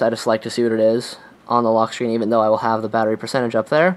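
This man talks at a medium pitch. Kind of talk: tech review voiceover.

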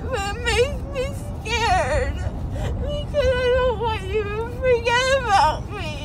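A woman at a very slow pace, with ordinary pitch variation. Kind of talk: emotional casual chat. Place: car. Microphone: phone near.

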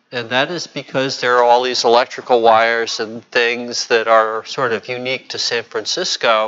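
A man's voice at a moderate pace, with hardly any pauses and fairly even intonation. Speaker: meetup organizer and emcee. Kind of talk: casual announcements. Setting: meeting room, live-streamed. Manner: jokey. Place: meeting room.

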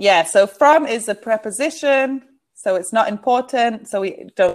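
A woman speaks at a very slow pace with a fairly high pitch and lively intonation. The background is quiet. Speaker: online English tutor. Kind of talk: online English lesson. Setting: video call. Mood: friendly, encouraging. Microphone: video call.

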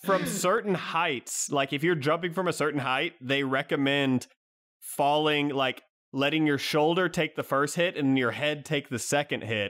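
In a very clean recording with a silent background, a man speaks in a normal speaking voice, fairly high-pitched for a man, at a moderate pace with ordinary pitch variation and very even loudness. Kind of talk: casual chat.

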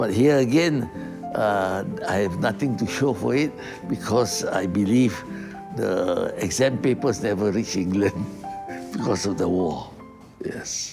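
A man at a fairly slow pace over clear music in the background. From Singapore. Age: 80s+. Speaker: retired pioneer, first polytechnic student. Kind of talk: interview answer. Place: hall.

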